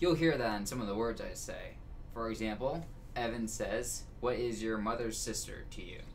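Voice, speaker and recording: Room echo is audible around a man's voice. He talks at a moderate pace amid noticeable background noise. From New England, Boston area. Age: young. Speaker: flight sim stream guest. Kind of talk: casual chat. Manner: animated.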